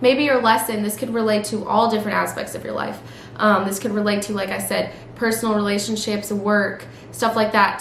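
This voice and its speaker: A woman speaks at a medium pitch. Noticeable background noise and audible room echo are present. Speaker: tarot reader. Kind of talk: tarot reading. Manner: fast; stream of consciousness, many fillers.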